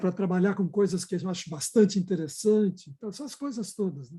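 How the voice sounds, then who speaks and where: Against a quiet background, a man speaks at a high pitch in a dark, mellow tone. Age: 70s. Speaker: psychodrama director. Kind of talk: group discussion.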